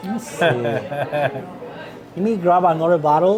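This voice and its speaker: Music plays behind a man speaking at a very slow pace. His pitch varies in an ordinary way, and the room echo is audible. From Mexico, Jalisco. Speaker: restaurant owner and tequila expert. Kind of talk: tasting class. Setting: restaurant. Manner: halting, many fillers.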